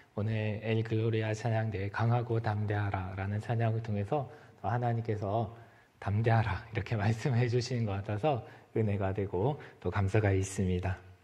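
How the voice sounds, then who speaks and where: Audible room echo around a man talking moderately fast, his pitch in the middle range. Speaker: preacher. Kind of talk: sermon.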